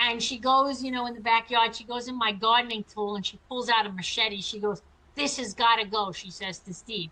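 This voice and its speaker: This woman has a fairly high pitch and a bright, sharp tone. She talks at a fairly quick pace with fairly even intonation and big swings in loudness. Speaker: former prisoner and chiropractor. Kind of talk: interview testimony.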